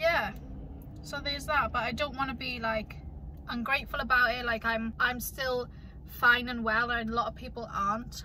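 A woman speaks in a high voice with fairly even intonation. The sound is dry with no echo, and there is light background noise. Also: moderate pace. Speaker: vlogger. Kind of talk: casual vlog chat. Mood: mildly disappointed, calm. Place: car. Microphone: phone near.

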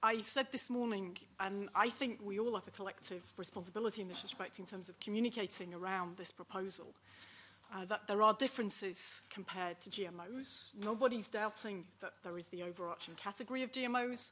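With light background noise behind her, a woman talks at a fairly quick pace in a bright, sharp tone. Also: ordinary pitch variation. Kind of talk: panel presentation. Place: meeting room. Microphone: podium.

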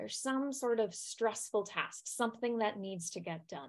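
A woman with a high-pitched voice speaks at a moderate pace in a quiet setting. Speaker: wellbeing coach. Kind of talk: lecture. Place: home room.

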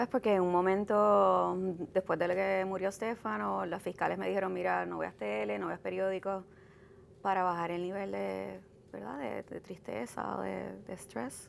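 Over light background noise, a woman talks at a fairly slow pace. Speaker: cancer survivor; interview guest. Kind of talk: interview. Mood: reflective, emotional about loss. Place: hall.

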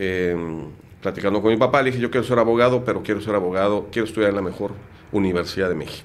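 Fairly low in pitch, a man talks at a very fast pace. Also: fairly even intonation. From Mexico City. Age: 50s. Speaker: lawyer and entrepreneur; lawyer. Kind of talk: casual interview. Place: studio. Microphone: studio mic.

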